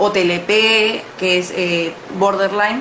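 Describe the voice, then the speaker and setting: A woman at a medium pitch with fairly even intonation, plus audible room echo and noticeable background noise. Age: 20s. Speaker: journalist and mental health activist. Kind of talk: interview. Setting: livestream. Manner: halting, many fillers.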